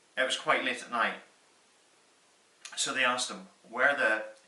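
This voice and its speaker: A man's voice over noticeable background noise. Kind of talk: personal storytelling. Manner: casual, conversational.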